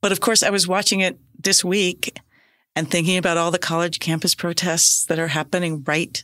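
In a very clean recording with a silent background, a woman with an American accent speaks in a fairly low pitch with a bright, sharp tone. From US South (Decatur, Georgia). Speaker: podcast host. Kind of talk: casual chat.

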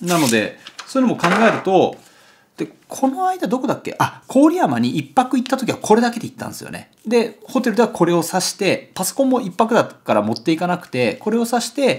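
At a fairly quick pace, a man speaks with big swings in loudness over light background noise. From Japan, Kagoshima; Japan. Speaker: photographer and YouTuber; YouTuber. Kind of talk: casual vlog monologue, product unboxing. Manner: rambling with many fillers. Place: home room.

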